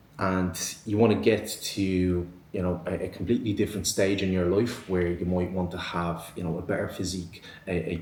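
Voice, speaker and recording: With an Irish accent and audible room echo, a man with a very deep, low pitch speaks at a moderate pace, somewhat breathy. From Ireland, Dublin. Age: 20s. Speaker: online fitness coach, podcast host. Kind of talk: solo podcast monologue. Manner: many filler ums and repetitions.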